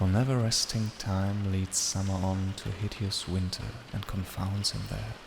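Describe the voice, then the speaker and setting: Soft-spoken and soothing, a man talks at a fairly slow pace with a fairly low pitch. Noticeable background noise sits behind him. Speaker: ASMR reader. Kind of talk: poetry reading. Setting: rain on window ambience in background. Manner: soft-spoken, soothing.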